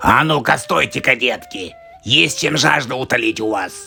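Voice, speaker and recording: Using a raspy, cartoonish character voice at a medium pitch, a man speaks at a moderate pace. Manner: sly, scheming.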